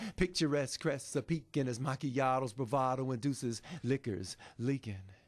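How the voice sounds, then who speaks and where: Over a quiet background, a man with a normal speaking voice talks at a fairly slow pace, in a medium pitch with ordinary pitch variation. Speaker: spoken word poet and author. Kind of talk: spoken word poetry performance. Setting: live performance at a publishing event.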